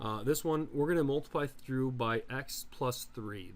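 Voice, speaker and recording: A man talks at a medium pitch. His voice has audible room echo. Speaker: math teacher. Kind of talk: lecture. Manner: fast.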